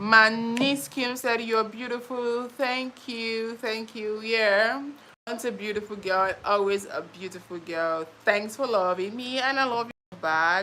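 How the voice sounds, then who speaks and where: In a Nigerian accent, a woman with a fairly high, bright, sharp voice talks at a very slow pace with hardly any pauses and ordinary pitch variation. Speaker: YouTuber. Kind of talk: live stream chat. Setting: live stream.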